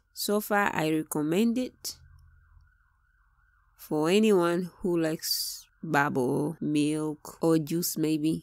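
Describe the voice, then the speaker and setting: A woman with a Tanzanian accent speaks at a very slow pace, her pitch fairly low with ordinary variation. The recording is very clean, with a silent background. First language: Swahili. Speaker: product reviewer, Swahili teacher. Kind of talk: product review tutorial.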